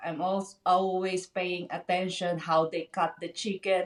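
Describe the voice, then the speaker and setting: At a fairly slow pace, a woman of medium pitch talks in monotone, flat intonation. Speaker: drummer. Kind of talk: casual interview. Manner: halting.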